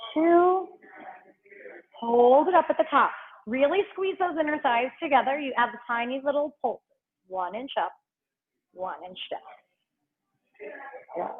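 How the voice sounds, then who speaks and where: Pausing often and at length, a woman talks fairly slowly in a high voice that swings very widely in pitch. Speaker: pilates instructor. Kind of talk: fitness class instruction.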